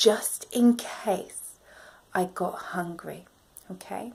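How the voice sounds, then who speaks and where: A woman's medium-pitched voice in a British accent at a very slow pace. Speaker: self-help vlogger. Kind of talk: motivational vlog talk.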